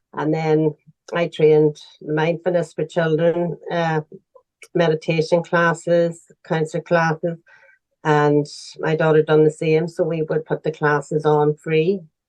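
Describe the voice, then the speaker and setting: A woman speaks at a fairly slow pace in a very deep, low pitch with monotone, flat intonation. The sound is dry and close, with no echo. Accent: Northern Irish. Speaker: charity founder. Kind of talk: interview answer.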